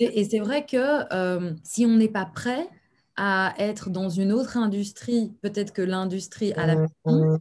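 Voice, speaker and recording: In a Belgian accent, a woman of medium pitch speaks very slowly with lively intonation. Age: young. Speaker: actress and acting coach, channel host. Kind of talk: interview conversation.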